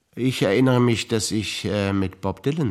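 On a very clean recording with a silent background, a man speaks at a moderate pace in a slightly mellow tone.

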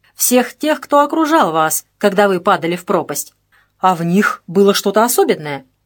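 An unforced reading voice is heard against a quiet background.

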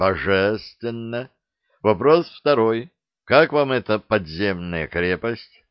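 A plain read-aloud voice with lively intonation is heard over a quiet background.

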